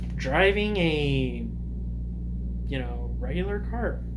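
A man speaks in a very deep, low voice with monotone, flat intonation. Noticeable background noise is present. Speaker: YouTuber giving opinion. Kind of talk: casual monologue commentary. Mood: calm, opinionated. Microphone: phone near.

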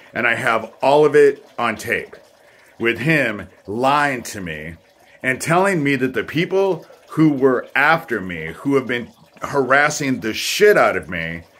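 Bright and sharp in tone, a man speaks at a fairly slow pace with very wide pitch swings. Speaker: vlogger telling personal grievances. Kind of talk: casual vlog monologue. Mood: aggrieved, accusatory. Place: home room. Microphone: phone near.

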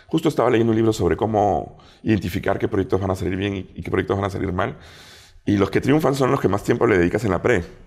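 On a very clean recording with a silent background, a man with an ordinary speaking voice talks at a fairly quick pace in a fairly low pitch with lively intonation. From Peru. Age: 40s. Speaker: food critic and TV show judge. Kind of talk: casual interview chat.

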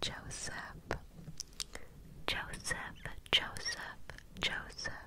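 A woman is whispering. The sound is dry with no echo, and there is noticeable background noise. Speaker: ASMR creator. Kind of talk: ASMR whispered name triggers. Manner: whisper, partly cupped by hand. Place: home room. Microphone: studio mic.

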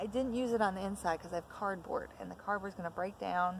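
Spoken at a moderate pace with ordinary pitch variation, the voice comes through dry with no echo over light background noise. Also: woman. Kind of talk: casual vlog tutorial. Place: garden. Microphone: phone near.

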